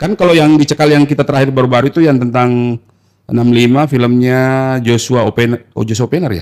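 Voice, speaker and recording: Talking at a very fast pace, a man keeps his pitch medium. His pitch varies in an ordinary way. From South Sulawesi, Indonesia. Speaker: film director. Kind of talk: casual chat.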